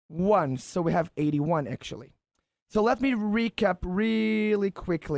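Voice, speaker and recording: A man with an Israeli accent, high-pitched and swinging very widely in pitch, at a moderate pace, in a dry, close sound with no echo on a very clean recording with a silent background. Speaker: mentalist performer. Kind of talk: live radio demonstration.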